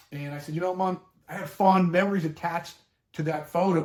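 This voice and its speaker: A man talks with a Boston accent at a fairly quick pace. He keeps his intonation fairly even. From Boston, Massachusetts (Dorchester). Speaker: elder law attorney. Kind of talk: educational talk with personal anecdote. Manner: conversational, plain-spoken.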